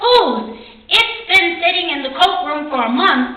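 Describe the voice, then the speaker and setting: Using a put-on character voice, a woman speaks at an extremely high pitch with very wide pitch swings and a fairly slow pace, with a slight echo. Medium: read story. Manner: brisk, authoritative.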